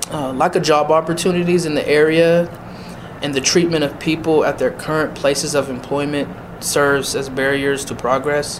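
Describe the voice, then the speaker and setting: Noticeable background noise accompanies a man with an American accent. He speaks at a moderate pace in a fairly high voice with fairly even intonation. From US Northeast (Erie, Pennsylvania). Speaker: NAACP chapter officer and university staff. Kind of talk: interview.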